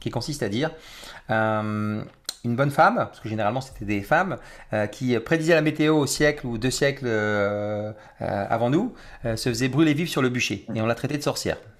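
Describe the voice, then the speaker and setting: A man's medium-pitched, normal speaking voice at a fairly quick pace, with lively intonation. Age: 40s. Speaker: mindset trainer. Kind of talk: interview.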